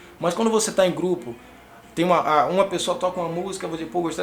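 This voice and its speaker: Noticeable background noise sits behind a man who talks very fast. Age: 30s. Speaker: music teacher and youtuber. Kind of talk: casual vlog monologue. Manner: sometimes fast; stutters at times.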